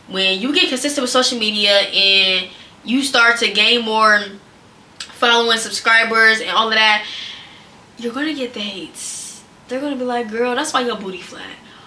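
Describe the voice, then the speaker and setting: A woman speaks loudly at a moderate pace with a fairly high pitch and ordinary pitch variation. Audible room echo and noticeable background noise are present. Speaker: content creator / vlogger. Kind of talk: casual advice vlog. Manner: animated.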